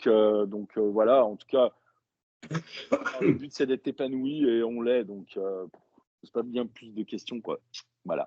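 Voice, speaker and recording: Speaking very slowly with long, frequent pauses, a man has a dark, mellow tone and fairly even intonation. His loudness swings widely, and the sound is dry and close with no echo. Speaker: death metal band vocalist. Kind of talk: casual interview. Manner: halting, many fillers.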